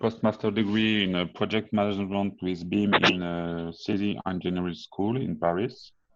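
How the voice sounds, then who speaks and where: With a French accent, a man talks at a fairly slow pace and fairly even intonation. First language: French (speaking Vietnamese). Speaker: engineering consultant and BIM lead. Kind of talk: presentation.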